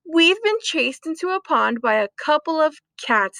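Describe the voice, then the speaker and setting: Using a put-on character voice, a woman speaks at an extremely high pitch with very wide pitch swings. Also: moderate pace. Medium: read story. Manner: taunting, then panicky.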